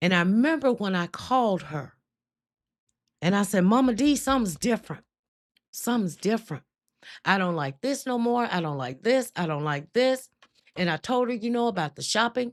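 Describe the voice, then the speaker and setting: On a very clean recording with a silent background, a woman with a Southern US accent speaks at a moderate pace in an animated tone, with very wide pitch swings and long, frequent pauses. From US South, Mississippi. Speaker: faith livestream host. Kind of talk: testimony. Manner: emotional, animated.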